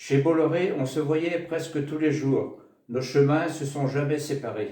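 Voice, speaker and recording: With audible room echo around him, a man speaks very slowly at a fairly high pitch, his tone dark and mellow and his intonation fairly even. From Brittany, France (Bannalec, Finistère). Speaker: old friend giving birthday wishes. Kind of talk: birthday speech.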